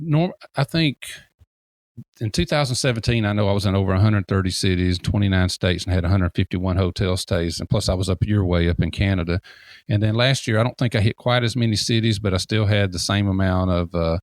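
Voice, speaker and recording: A man with a Southern accent speaks at a very fast pace in a fairly low pitch, with ordinary pitch variation and very even loudness. The sound is dry and close with no echo, on a very clean recording with a silent background. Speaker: deck builder and industry consultant. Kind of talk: interview.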